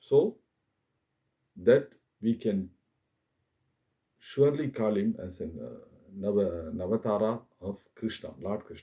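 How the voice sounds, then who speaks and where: Speaking in a Tamil accent, a man has a dark, mellow tone and a fairly low pitch with ordinary variation. He moves at a fairly slow pace with long, frequent pauses. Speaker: YouTuber, religious commentator. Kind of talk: monologue talk to camera. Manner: halting, many fillers.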